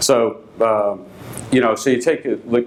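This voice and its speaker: A man with a Boston accent speaks at a medium pitch with ordinary pitch variation, over noticeable background noise. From Boston, Massachusetts. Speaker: company executive. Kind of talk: conference keynote. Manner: hesitant, many fillers.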